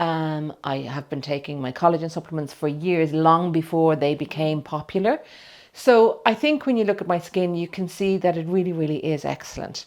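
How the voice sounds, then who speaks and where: A woman's plain, everyday voice, fairly low in pitch, with ordinary pitch variation at a moderate pace. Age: 60s. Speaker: client having a cosmetic procedure. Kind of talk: personal testimony to camera. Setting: clinic treatment room.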